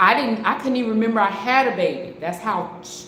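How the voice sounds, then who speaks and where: A woman with a medium pitch talks fairly quickly with ordinary pitch variation, noticeable background noise behind her. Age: 60s. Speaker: online preacher. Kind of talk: testimony; live-stream sermon. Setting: live stream. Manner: halting, repeats words.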